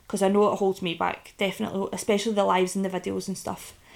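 A woman with a Scottish accent. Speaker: podcaster and online business owner. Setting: recording from bed at home. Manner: casual, candid, swears often.

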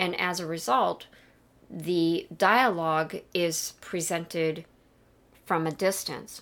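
A woman speaks very slowly at a fairly low pitch, with ordinary pitch variation and long, frequent pauses. Her loudness is very even, and the recording is very clean with a silent background. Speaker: podcast co-host and pop culture scholar. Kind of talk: casual discussion of a film.

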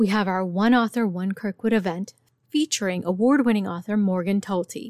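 A woman's medium-pitched, an unremarkable speaking voice at a moderate pace with ordinary pitch variation, in a very clean recording with a silent background and a dry, close sound with no echo. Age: 40s. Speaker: librarian and podcast host. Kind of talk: interview.

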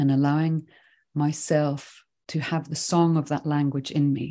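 A woman speaks with a Swedish accent at a fairly slow pace, her pitch very deep and low, her tone dark and mellow. Her intonation stays monotone and flat against a quiet background. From Sweden, then England and Scotland from age eleven. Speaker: writing teacher and nature awareness teacher. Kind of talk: podcast interview.

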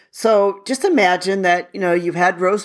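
An unremarkable speaking voice from a woman, fairly low in pitch, with ordinary pitch variation. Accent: American. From United States. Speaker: podcast host. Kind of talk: solo podcast monologue. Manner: conversational.

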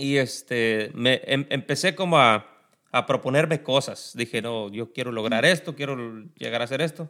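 A man at a medium pitch and moderate pace, with ordinary pitch variation, a bright, sharp tone, and a very clean recording with a silent background. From Mexico, Tierra Caliente (Guerrero). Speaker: podcast co-host. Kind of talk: casual chat.

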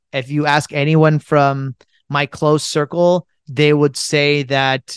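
A fairly slow, fairly high-pitched man with an American accent and an unremarkable speaking voice, in a dry, close sound with no echo. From United States. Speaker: podcast host and entrepreneur. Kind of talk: solo podcast Q&A.

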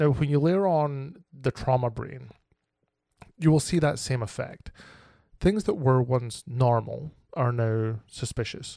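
A man's medium-pitched voice with a dark, mellow tone, fairly slow pace, long, frequent pauses and ordinary pitch variation. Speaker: podcast host. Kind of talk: solo podcast monologue on trauma recovery.

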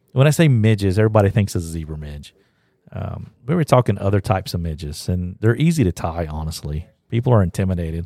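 With an Appalachian accent, a man speaks very fast in a very deep, low voice with a dark, mellow tone. His intonation is lively, and the recording is very clean with a silent background. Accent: Southern US (Appalachian). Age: 50s. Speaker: podcast host, fly shop staff. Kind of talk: casual chat. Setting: fly shop.

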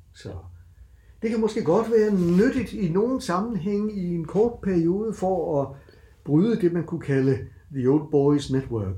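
Here a man speaks at a very slow pace and a high pitch. His intonation is lively. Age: 60s. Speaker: university lecturer. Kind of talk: casual interview.

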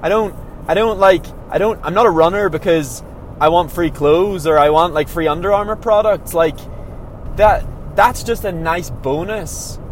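The speaker has an Irish accent and ordinary pitch variation, with noticeable background noise behind the voice. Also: man, high pitch for a man, moderate pace. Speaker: professional runner. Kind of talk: casual monologue. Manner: halting.

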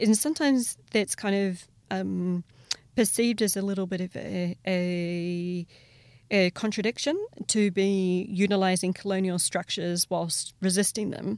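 A woman speaks with a New Zealand accent at a medium pitch. Her pace is fairly slow, and her pitch varies in an ordinary way. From New Zealand, Taranaki region. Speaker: lawyer. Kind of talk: interview. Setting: on the sidelines of a conference. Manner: halting, many fillers.

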